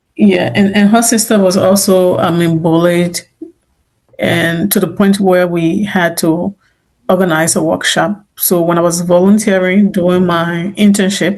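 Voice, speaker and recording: The speaker talks at a fairly slow pace in an African accent, with monotone, flat intonation and very even loudness. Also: woman, medium pitch for a woman. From Liberia. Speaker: immigrant author, interviewee. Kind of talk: interview testimony. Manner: halting, many repeated words.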